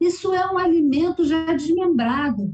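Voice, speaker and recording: A woman's voice at a moderate pace. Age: 60s. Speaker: physician. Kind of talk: TV interview.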